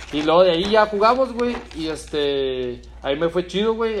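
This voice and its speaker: A man talks fairly slowly in a plain, everyday voice, his intonation lively. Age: 30s. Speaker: footballer. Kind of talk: casual chat.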